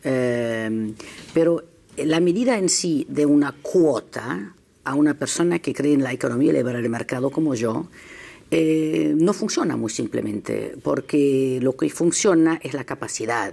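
A woman speaks at a fairly slow pace with lively intonation. Her voice has a very deep, low pitch and a dark, mellow tone. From Germany. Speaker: journalist. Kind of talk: panel discussion. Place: studio. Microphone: lapel.

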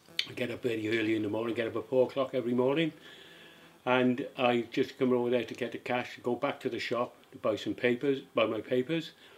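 Using a Cardiff accent, a man talks at a fairly quick pace in a medium pitch with fairly even intonation. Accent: Welsh (Cardiff). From Cardiff, Wales. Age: 70s. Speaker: retired bus driver. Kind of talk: interview answer.

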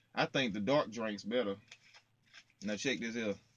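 A man speaks at a fairly slow pace. His pitch is fairly low, with ordinary variation.

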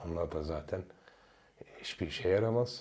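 Lively in intonation, a man's voice carries a dark, mellow tone with vocal fry. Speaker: YouTuber. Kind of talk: video monologue. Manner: animated.

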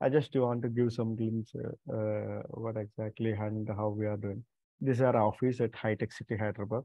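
With an Indian accent, the speech comes at a moderate pace in a monotone, flat intonation, dry with no echo over a quiet background. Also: man. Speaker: company representative hosting meeting with college coordinators. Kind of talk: online meeting presentation. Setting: video call. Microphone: video call.

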